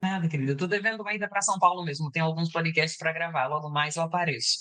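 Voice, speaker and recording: Fairly low in pitch with a bright, sharp tone, a woman talks at a very fast pace with ordinary pitch variation. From Brazil, Bahia. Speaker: psychologist. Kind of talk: interview.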